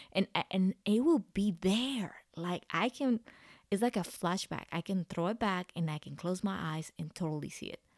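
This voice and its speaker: A woman with a Spanish accent speaks at a moderate pace and medium pitch with ordinary pitch variation, in a dry, close sound with no echo. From Central America. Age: 30s. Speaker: podcast host. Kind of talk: personal monologue.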